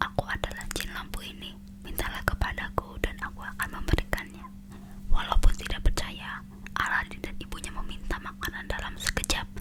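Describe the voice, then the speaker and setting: Someone is whispering at a moderate pace. There is noticeable background noise. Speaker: ASMR creator. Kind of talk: read story. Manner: whispered.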